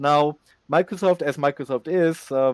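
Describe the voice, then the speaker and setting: Speaking very slowly, a man talks with a German accent. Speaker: conference speaker on software development. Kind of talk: conference talk Q&A. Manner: halting, many fillers.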